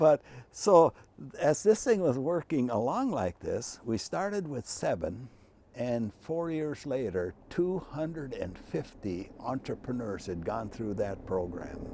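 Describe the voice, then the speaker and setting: Speaking at a fairly slow pace with an Upper Midwest accent, this dark, mellow voice makes very wide pitch swings. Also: man, medium pitch for a man. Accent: Upper Midwest American. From Minnesota. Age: 80s+. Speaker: retired university president. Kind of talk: interview. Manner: animated.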